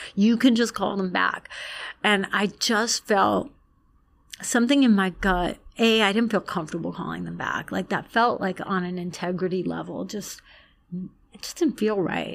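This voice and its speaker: Here a woman talks with an American accent at a medium pitch. Her voice has vocal fry. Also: ordinary pitch variation, moderate pace. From Long Island, New York. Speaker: former magazine editor and writer. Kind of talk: casual chat.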